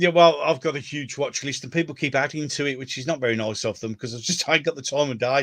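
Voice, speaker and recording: A man talks at a very fast pace in a Birmingham accent. His pitch varies in an ordinary way. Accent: Brummie. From Birmingham, England. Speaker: YouTube host. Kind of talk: casual chat. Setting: livestream.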